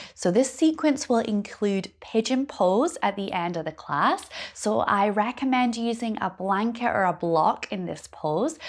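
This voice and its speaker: A woman with a Scottish accent speaks at a fairly slow pace in a fairly high pitch, with lively intonation and hardly any pauses. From Scotland. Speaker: yoga teacher. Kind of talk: yoga class introduction.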